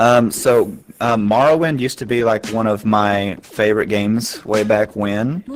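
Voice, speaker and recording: Over noticeable background noise, a man talks at medium pitch. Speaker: streamer. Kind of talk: Q&A with viewers. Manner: monotone; flat, sounds bored.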